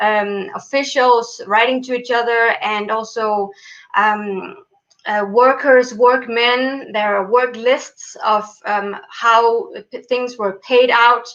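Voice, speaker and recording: A woman talks at a very slow pace with a non-native accent. Her pitch is fairly high and her intonation fairly even. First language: not English. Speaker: PhD student in Egyptology. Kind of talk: interview. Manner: halting, many fillers.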